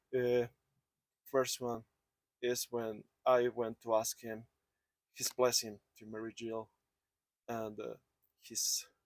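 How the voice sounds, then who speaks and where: A man with a non-native accent speaks very slowly at a medium pitch, pausing long and often in a monotone, flat intonation. His loudness swings widely, and the sound is dry and close with no echo. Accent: noticeable foreign. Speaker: family member giving eulogy. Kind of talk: eulogy. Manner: halting.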